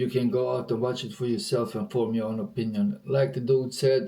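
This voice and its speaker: Noticeable background noise runs under the recording. A man speaks at medium pitch with a non-native accent. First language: not English. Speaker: reaction video host. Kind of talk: casual reaction commentary. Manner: animated.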